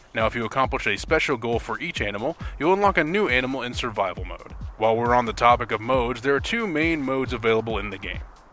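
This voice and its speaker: Music plays behind a man who talks very fast at a medium pitch with lively intonation. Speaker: game reviewer. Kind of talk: video game review voiceover.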